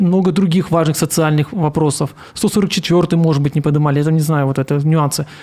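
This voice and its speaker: Fairly high in pitch, a man's voice has a dark, mellow tone. He talks at a very fast pace with fairly even intonation. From Komi Republic, Russia. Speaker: newly elected city councillor and activist. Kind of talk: live online interview about election results. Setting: live internet broadcast. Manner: halting, with self-corrections and stammers.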